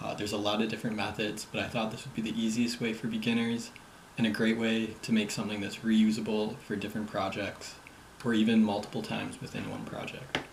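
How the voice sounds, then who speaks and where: Quiet speech at a very fast pace amid noticeable background noise. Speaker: app development tutor. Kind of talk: screen-recorded coding tutorial. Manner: quiet, low volume; casual.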